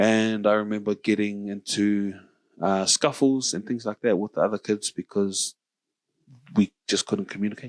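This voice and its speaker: A man with a New Zealand accent, fairly low in pitch, at a moderate pace with fairly even intonation, in a dry, close sound with no echo. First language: Samoan. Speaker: podcast host. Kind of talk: casual chat.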